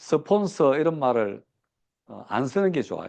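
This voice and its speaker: This man has a fairly high pitch and lively intonation. He talks at a moderate pace. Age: 60s. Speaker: business seminar speaker. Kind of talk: lecture. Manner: many fillers and hesitations.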